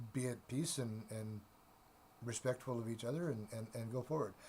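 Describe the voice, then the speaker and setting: Here a man speaks at a medium pitch. His tone is dark and mellow. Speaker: tarot reader. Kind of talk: tarot reading monologue. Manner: halting, many repetitions and fillers.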